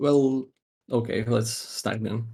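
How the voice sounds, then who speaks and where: Pitched at a medium level, a man with a non-native accent speaks in a dark, mellow tone. His pace is fairly slow, with ordinary pitch variation. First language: not English. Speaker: game master. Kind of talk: casual chat. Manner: halting, many fillers.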